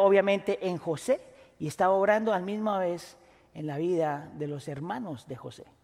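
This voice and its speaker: Here a man speaks at a fairly slow pace. His intonation is lively. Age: 40s. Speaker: pastor. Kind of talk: sermon.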